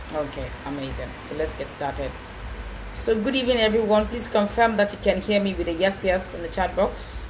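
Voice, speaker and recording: A woman speaks at a fairly quick pace with big swings in loudness, over noticeable background noise and audible room echo. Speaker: program manager and webinar speaker. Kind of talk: webinar presentation. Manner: fast.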